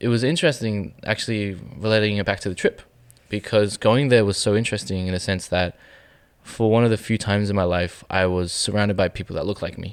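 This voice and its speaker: This man talks at a fairly quick pace with an Australian accent, his pitch fairly low with ordinary variation. The recording is very clean, with a silent background. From Melbourne, Australia. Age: 20s. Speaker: photographer. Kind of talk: interview. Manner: halting.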